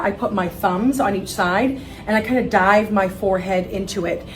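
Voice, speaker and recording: Through noticeable background noise and audible room echo, a woman speaks at a medium pitch and a moderate pace. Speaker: wig expert and seller. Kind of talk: tutorial. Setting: studio. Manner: casual, friendly.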